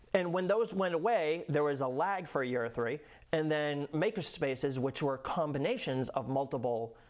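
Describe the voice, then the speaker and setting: In an American accent, a normal speaking voice carries lively intonation at very even loudness. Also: man, fairly high pitch for a man, moderate pace. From Massachusetts (Lynn, north of Boston). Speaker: educational business owner. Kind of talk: casual interview.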